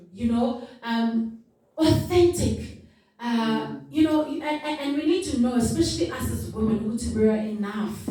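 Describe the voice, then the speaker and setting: Amid audible room echo, a woman with a fairly high pitch speaks at a fairly slow pace with lively intonation. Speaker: business owner and speaker. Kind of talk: motivational talk. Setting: stage with audience. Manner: loud; animated.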